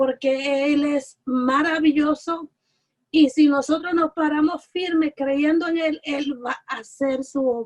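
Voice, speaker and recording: A woman's high voice, very slow and fairly even in intonation, with a dry, close sound and no echo. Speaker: Bible study teacher.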